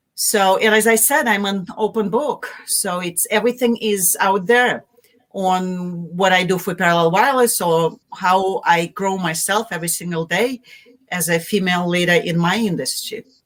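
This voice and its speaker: A woman with a Russian accent speaks at a moderate pace. Her voice is medium in pitch, with ordinary pitch variation. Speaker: marketing executive. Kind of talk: interview. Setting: live video stream.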